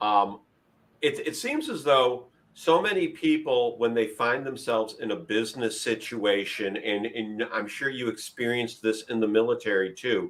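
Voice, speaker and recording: This man has an unremarkable speaking voice, medium in pitch with ordinary variation, delivered at a moderate pace. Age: 50s. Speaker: leadership podcast host. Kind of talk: interview.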